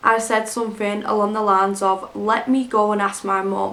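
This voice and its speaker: In a bright, sharp tone, a woman speaks at a moderate pace with a fairly high pitch and monotone, flat intonation. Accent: north-west English. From Greater Manchester, England. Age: 20s. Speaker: YouTube storyteller. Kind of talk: scary story narration.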